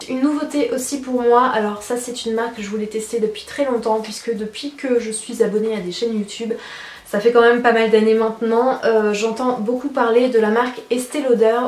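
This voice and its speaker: Amid noticeable background noise and audible room echo, a woman speaks at a moderate pace in a fairly high, monotone, flat voice. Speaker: beauty youtuber. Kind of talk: product review vlog. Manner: chatty.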